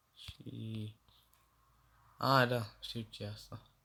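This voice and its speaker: At a very slow pace, a man speaks. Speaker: gaming youtuber. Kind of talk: gameplay commentary.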